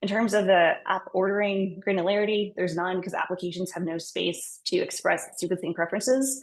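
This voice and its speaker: A woman talks at a fairly quick pace with hardly any pauses. Her medium-pitched voice keeps a fairly even intonation. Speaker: software engineer giving a conference talk. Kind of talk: technical talk. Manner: fast; casual, filler-heavy.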